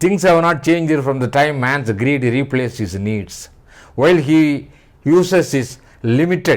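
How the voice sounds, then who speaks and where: A man with an Indian accent talks at a fairly slow pace and a fairly high pitch, with lively intonation. The recording is very clean, with a silent background. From India, Tamil-speaking region. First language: Tamil. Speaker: writer and speaker on philosophy and spirituality. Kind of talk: lecture. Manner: formal.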